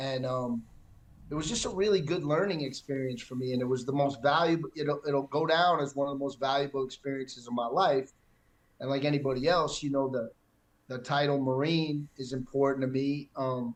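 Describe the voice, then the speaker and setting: A man's fairly high voice moves fairly quickly, his intonation fairly even. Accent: New York. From New York City, Manhattan. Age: 60s. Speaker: retired military pilot. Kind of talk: casual interview. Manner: halting, many fillers and repeats.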